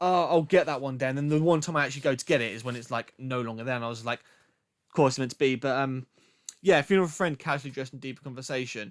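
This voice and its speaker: A speaker with a British accent talks at a very fast clip, with ordinary pitch variation. The recording is very clean, with a silent background. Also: man. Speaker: music podcast host, record collector. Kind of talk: casual show-and-tell monologue. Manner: casual, filler-heavy.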